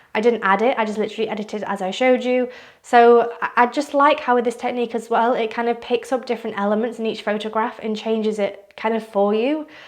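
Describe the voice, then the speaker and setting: A woman talks very fast at a fairly high pitch, with hardly any pauses and monotone, flat intonation, against noticeable background noise. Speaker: art and photo editing youtuber. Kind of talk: tutorial.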